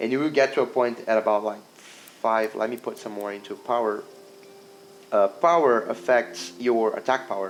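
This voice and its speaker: Over noticeable background noise, a man talks at a moderate pace and medium pitch, with ordinary pitch variation. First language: not English. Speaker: indie game developer. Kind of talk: gameplay demo walkthrough. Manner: halting, many fillers and restarts.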